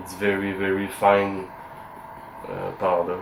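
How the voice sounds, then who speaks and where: With a non-native accent and a fairly low pitch, a man speaks over noticeable background noise. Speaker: antique sword collector. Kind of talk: tutorial demonstration to camera. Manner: hesitant, many fillers.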